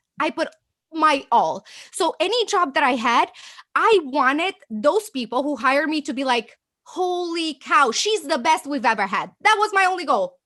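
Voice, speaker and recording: An animated, raised and projected voice, bright and sharp, with very wide pitch swings, a slight Romanian accent and a moderate pace. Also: woman, high pitch for a woman. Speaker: agency owner. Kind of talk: interview.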